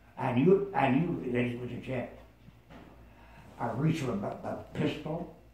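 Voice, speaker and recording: A man at a medium pitch speaks fairly slowly with ordinary pitch variation over noticeable background noise. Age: 80s+. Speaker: WW2 veteran. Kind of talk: interview answer.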